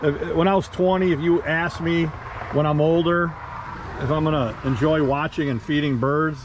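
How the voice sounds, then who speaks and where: Over noticeable background noise, a man talks at a moderate pace. His pitch is fairly high, with ordinary variation. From Michigan, US. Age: 60s. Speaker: travel vlogger. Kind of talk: casual travel narration. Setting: outdoors and in a car. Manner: casual, with fillers and repetitions.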